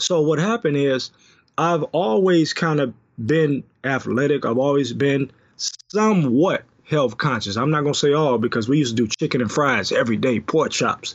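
With an American accent, a man in an ordinary speaking voice talks at a moderate pace and fairly high pitch, with lively intonation and very even loudness. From Detroit, US. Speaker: health consultant and author. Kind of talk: casual interview. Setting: phone call.

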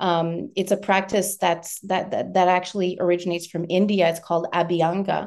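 Against a quiet background, a woman speaks at a medium pitch with monotone, flat intonation and hardly any pauses. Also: moderate pace. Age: 50s. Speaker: menopause transition coach. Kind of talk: interview conversation.

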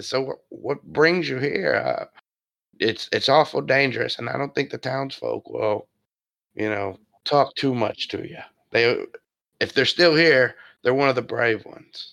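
A man's raspy, put-on character voice, fairly high in pitch, at a fairly slow pace with long, frequent pauses and big swings in loudness over a quiet background. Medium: actual play. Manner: folksy, rambling.

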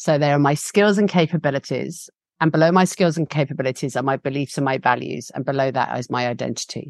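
With an English accent, a woman talks at a fairly quick pace in a very deep, low pitch with ordinary pitch variation, the sound dry and close with no echo and the background quiet. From UK. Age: 40s. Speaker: facilitator and trainer, founder of a facilitation school. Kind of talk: casual interview. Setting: video call. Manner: animated, passionate.

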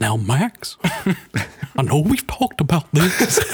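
Very slow and at a middle pitch, a put-on character voice moves through very wide pitch swings. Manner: parental.

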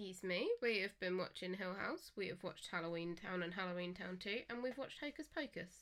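Here a woman talks with an English accent. She goes at a fairly quick pace. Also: medium pitch for a woman, ordinary pitch variation, hardly any pauses. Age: 20s. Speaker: guest on podcast, partner of co-host. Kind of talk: casual chat.

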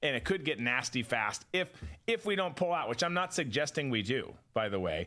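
Bright and sharp with vocal fry, a man's fairly high voice moves at a fairly quick pace through very wide pitch swings at very even loudness, on a very clean recording with a silent background. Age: 40s. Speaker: podcast host and former counterterrorism officer. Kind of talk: casual political commentary show. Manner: conversational, with frequent repetitions and stumbles.

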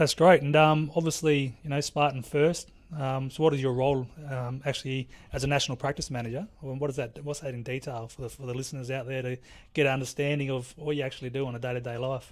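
A man at a medium pitch, very fast, with fairly even intonation on a very clean recording over a silent background. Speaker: podcast host. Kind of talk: interview chat.

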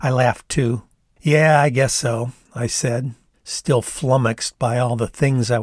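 With fairly even intonation, the plain reading aloud plays over a quiet background.

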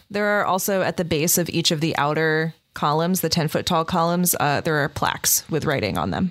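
In a normal speaking voice, a woman talks fairly quickly at a fairly low pitch with hardly any pauses, very even loudness and ordinary pitch variation. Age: 20s. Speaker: dungeon master of actual play podcast. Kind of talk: tabletop game narration.

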